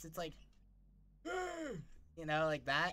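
This is a put-on character voice. It sounds husky, set at a middle pitch. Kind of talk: casual stream chat. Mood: playful, smiling.

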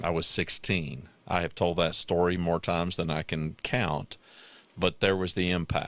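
Speaking at a fairly slow pace, a man with a very deep, low voice keeps a fairly even intonation in a dry sound with no echo. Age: 60s. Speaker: podcast host. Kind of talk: casual chat. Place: home room. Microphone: studio mic.

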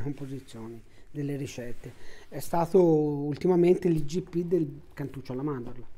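Dark, mellow tone at a moderate pace. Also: man. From Tuscany, Italy. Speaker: family business owner, baker. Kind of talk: interview monologue. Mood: relaxed, friendly. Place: home room.

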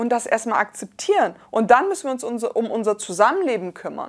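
Over a quiet background, a woman with a high pitch and an animated tone speaks at a moderate pace with very wide pitch swings. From Germany. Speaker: scientist and rapper. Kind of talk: reading and reacting to social media replies. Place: studio. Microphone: lapel.

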